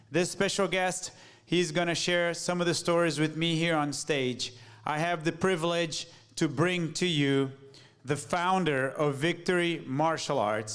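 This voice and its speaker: Audible room echo surrounds a man speaking at a fairly slow pace, his high pitch held at a very even loudness. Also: ordinary pitch variation. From Brazil. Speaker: martial arts instructor, event host. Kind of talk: live stage talk-show hosting. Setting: stage with live audience.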